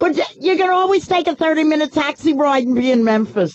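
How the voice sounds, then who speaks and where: A woman with a strong New York accent talks at a fairly quick pace. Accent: thick New York. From New York City. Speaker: radio talk show host. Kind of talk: talk radio monologue.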